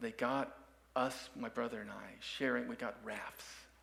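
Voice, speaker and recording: A man talks at a fairly slow pace with an American accent. The room echo is audible. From Dallas, Texas (Oak Cliff). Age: 60s. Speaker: musician and guest speaker. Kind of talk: sermon with personal story. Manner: halting, many fillers.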